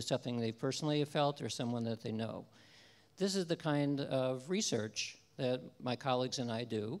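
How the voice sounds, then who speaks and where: This man's delivery moves at a moderate speed, and his pitch rises and falls in an ordinary way. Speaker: lecturer. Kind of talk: lecture. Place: stage. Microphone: handheld.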